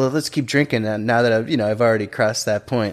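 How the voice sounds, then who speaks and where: A man's plain, everyday voice at a medium pitch with fairly even intonation. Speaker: podcast host. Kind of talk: casual interview.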